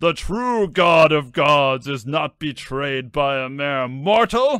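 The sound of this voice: A man's put-on character voice, fairly high-pitched, with a clear, smooth yet bright, sharp tone, lively intonation and a slow pace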